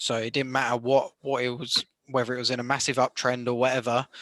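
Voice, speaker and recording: The speaker is a man with a bright, sharp tone. His intonation is flat and monotone. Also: dry, close sound with no echo. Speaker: forex trader mentor. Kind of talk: casual group chat on trading.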